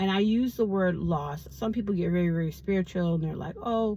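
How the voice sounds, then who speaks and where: A woman speaks at medium pitch, somewhat breathy, her pitch varying in an ordinary way. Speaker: vlogger. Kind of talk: casual vlog monologue.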